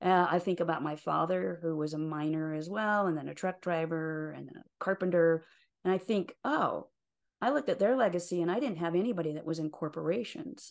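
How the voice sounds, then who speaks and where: Over a quiet background, a woman with an American accent and a plain, everyday voice talks at a fairly quick pace, fairly low in pitch with ordinary pitch variation. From rural Utah, US. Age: 60s. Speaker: life and career coach. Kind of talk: interview conversation.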